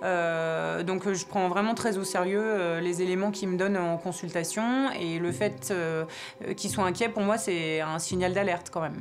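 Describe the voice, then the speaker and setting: Amid noticeable background noise and audible room echo, a woman with a medium pitch speaks at a fairly slow pace, with very even loudness and fairly even intonation. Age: 30s. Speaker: veterinarian. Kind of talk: documentary interview.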